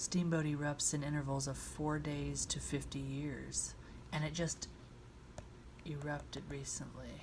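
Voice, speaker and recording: A soft-spoken woman at a fairly slow pace. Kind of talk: ASMR book reading, soft-spoken.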